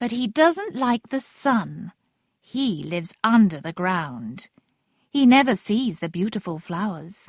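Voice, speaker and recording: A put-on character voice, female-sounding, at a medium pitch for a woman and a fairly slow pace. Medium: read story.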